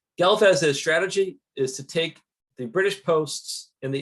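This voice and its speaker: A man with a Western New York accent talks at a moderate pace, his intonation lively. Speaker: historian. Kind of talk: lecture. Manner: casual, with fillers.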